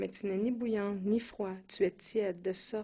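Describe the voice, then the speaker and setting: A woman speaks at a fairly slow pace. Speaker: preacher. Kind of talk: sermon teaching. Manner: hesitant, with filler sounds.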